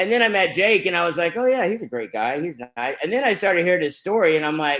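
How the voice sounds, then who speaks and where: A man speaks in a Texan accent with an animated tone. His intonation is lively. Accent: Texan (US Southern). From Texas, Fort Worth. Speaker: network marketing host. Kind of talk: online webinar presentation. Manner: loud.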